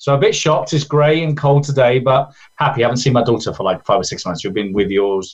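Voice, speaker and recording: With an English accent, a man talks very fast with hardly any pauses, lively intonation and a somewhat breathy sound. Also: medium pitch for a man. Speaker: event organizer. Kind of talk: interview. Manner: halting.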